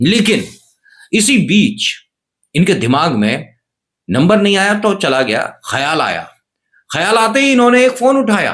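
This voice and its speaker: A man speaks in a high pitch with very wide pitch swings. He leaves long, frequent pauses. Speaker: news commentary youtuber. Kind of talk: comedic news narration. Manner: animated; subdued, slightly muffled. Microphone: cheap camera.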